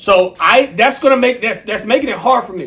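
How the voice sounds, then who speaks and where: Raised and projected, a man's voice carries a bright, sharp tone at a fairly quick pace with ordinary pitch variation. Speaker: music reaction youtuber. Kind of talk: casual review monologue. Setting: indoors by a window. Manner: halting.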